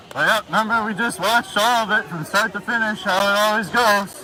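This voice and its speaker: Over noticeable background noise, a man with a high pitch uses a raised, projected voice at a fairly quick pace. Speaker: livestreamer at protest. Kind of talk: live street commentary. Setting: outdoors at night protest. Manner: loud. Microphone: muffled by face mask.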